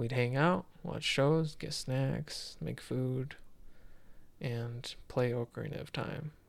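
With ordinary pitch variation and a somewhat breathy quality, a man speaks very slowly at a medium pitch. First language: not English. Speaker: gaming podcast co-host. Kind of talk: casual chat. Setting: studio with headphones.

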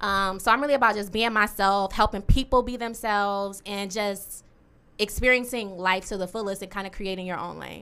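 A woman at medium pitch has a bright, sharp tone and fairly even intonation, speaking at a moderate pace. Her loudness swings widely over a very clean recording with a silent background. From Detroit. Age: 20s. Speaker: podcast co-host, social worker. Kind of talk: casual chat.

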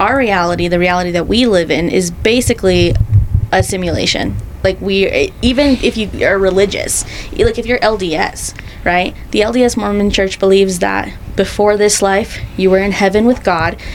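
With noticeable background noise, a woman speaks at very even loudness. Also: moderate pace. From Salt Lake City, Utah (Rose Park). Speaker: photographer and podcast co-host. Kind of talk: casual chat.

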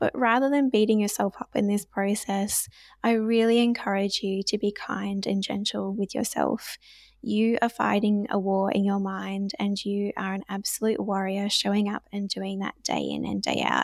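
A woman with an Australian accent speaks at a medium pitch and a moderate pace, keeping her intonation fairly even. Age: 20s. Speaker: nurse and recovery ambassador. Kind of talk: casual interview.

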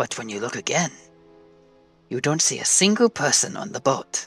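A put-on character voice whispers over faint music in the background. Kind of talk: fantasy villain voice. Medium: actual play. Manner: grandiose, formal.

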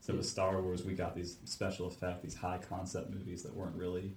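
At a fairly quick pace, a man with a very deep, low, somewhat breathy voice speaks in a flat monotone. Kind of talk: casual chat about sci-fi films.

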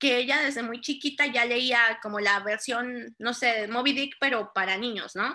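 Bright and sharp in tone, a woman with a high pitch talks at a fairly quick pace with fairly even intonation. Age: 30s. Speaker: preschool and primary teacher. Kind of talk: casual chat.

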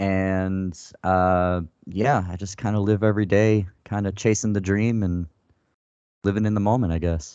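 With an American accent, a man speaks in a plain, everyday voice at a fairly low pitch, keeping a moderate pace and fairly even intonation. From Florida, US. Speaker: writer and director. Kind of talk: casual interview chat.

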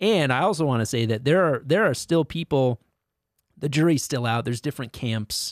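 A man with a plain, everyday voice, fairly high in pitch and with lively intonation, talks at a fairly quick pace on a very clean recording with a silent background and a dry, close sound with no echo. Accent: American. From US Northeast (Connecticut). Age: 40s. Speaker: comedian. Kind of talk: casual chat.

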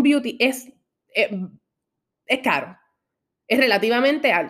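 In an animated tone, a woman keeps her delivery at a moderate pace. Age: 20s. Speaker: podcast host. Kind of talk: personal monologue.

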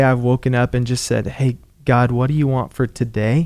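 In a very clean recording with a silent background, a man speaks at a moderate pace. He has an ordinary speaking voice of medium pitch. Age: 20s. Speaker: pastor. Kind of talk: interview. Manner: casual, conversational.

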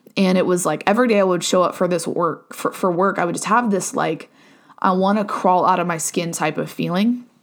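On a very clean recording with a silent background, a woman speaks with an American accent. Her medium pitch, fairly even intonation and fairly quick pace hold throughout. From US Midwest, southeastern Ohio. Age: 20s. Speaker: podcast host. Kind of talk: casual solo monologue. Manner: casual, filler-heavy.

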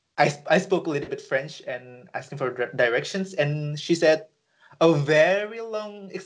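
A high-pitched man with an Indonesian accent speaks at a fairly slow pace. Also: ordinary pitch variation. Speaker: podcast co-host. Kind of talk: casual chat. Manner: halting.

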